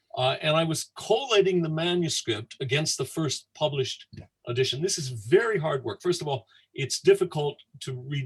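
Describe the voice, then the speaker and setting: Somewhat breathy, a man talks with an American accent and ordinary pitch variation. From United States. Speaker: Dickens scholar. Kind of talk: anecdote on livestream tour. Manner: halting, with many fillers.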